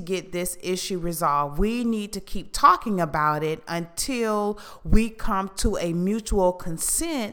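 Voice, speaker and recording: A woman with an American accent at a very slow pace and medium pitch, with lively intonation, on a very clean recording with a silent background. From Houston, Texas. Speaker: podcast co-host. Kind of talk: casual chat.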